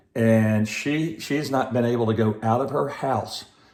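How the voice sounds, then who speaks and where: The speaker talks with an American accent and fairly even intonation. Noticeable background noise runs underneath. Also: man. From Georgia, US. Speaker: teacher reading to children. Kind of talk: children's read-aloud intro.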